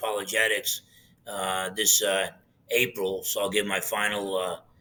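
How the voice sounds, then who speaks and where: The speaker is a man. He talks at a moderate pace. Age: 60s. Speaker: pastor and apologist. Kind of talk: interview.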